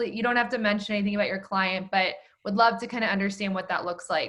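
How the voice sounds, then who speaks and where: A woman's bright, sharp voice at a medium pitch, very fast, with fairly even intonation. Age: 20s. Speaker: podcast host. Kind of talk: podcast interview.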